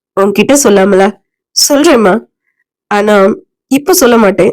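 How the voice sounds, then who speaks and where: A woman's put-on character voice, raspy and medium-pitched, with lively intonation at a fairly slow pace. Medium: read story.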